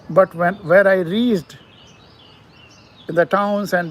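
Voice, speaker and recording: A man with an Indian accent talks fairly slowly in a high voice with a flat, monotone delivery. Noticeable background noise sits behind him. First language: Hindi. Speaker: poet. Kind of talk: poetry talk and reading. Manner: halting.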